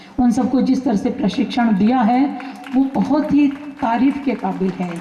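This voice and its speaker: A woman speaks at a fairly high pitch with ordinary pitch variation. Noticeable background noise is present. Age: 60s. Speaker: attendee giving feedback. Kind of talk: speech at a camp.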